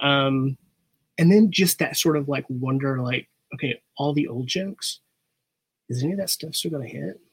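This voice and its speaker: A man's fairly high, somewhat breathy voice with lively intonation, a moderate pace and long, frequent pauses, dry and close with no echo. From Arkansas. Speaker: comedian and nonprofit director. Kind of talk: casual chat.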